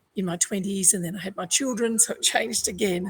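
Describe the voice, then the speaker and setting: Talking at a fairly quick pace, a woman with a medium-pitched, somewhat breathy voice keeps her intonation fairly even. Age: 60s. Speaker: resilience coach. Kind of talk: panel discussion. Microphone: internet problems.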